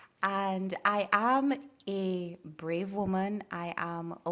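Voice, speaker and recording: A woman with a Trinidadian accent speaks in a fairly even intonation on a very clean recording with a silent background. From Trinidad and Tobago. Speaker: coach and former prosecutor with a doctorate. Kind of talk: podcast interview.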